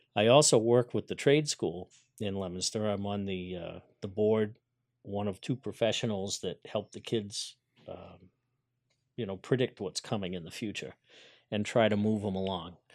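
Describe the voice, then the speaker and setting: A man talks at a moderate pace in a fairly low pitch, with ordinary pitch variation. Long, frequent pauses break up his speech on a very clean recording with a silent background. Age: 50s. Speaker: carpenter, business owner. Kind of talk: interview. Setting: studio.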